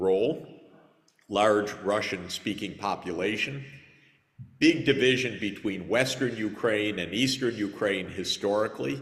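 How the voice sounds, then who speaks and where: A man with an American accent, fairly low pitched, with ordinary pitch variation, a fairly slow pace and audible room echo. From United States. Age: 60s. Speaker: conference speaker, economist. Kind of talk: conference panel answer.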